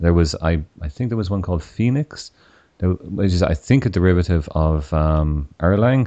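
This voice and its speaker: In an Irish accent, a man speaks with a very deep, low pitch and a dark, mellow tone. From Ireland. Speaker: podcast host, software engineer. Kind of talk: interview.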